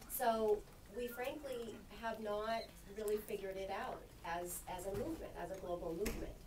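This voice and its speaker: The speaker has an American accent and a moderate pace. There is noticeable background noise. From Filipino American. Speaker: anti-trafficking nonprofit worker. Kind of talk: panel discussion. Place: meeting room.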